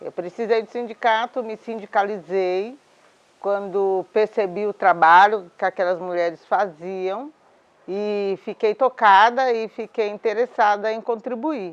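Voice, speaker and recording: A woman with an ordinary speaking voice talks at a fairly slow pace in a medium pitch, her intonation fairly even. The sound is dry and close with no echo, over a quiet background. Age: 60s. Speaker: domestic worker and union leader. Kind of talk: interview testimony. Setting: at her home.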